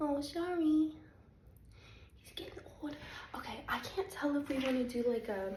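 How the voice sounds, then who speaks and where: A woman speaks at a moderate pace with a high pitch, her loudness swinging widely, over noticeable background noise and audible room echo, with long, frequent pauses. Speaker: spiritual content creator (remote viewer, psychic). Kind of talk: casual vlog monologue. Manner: hesitant, many ums.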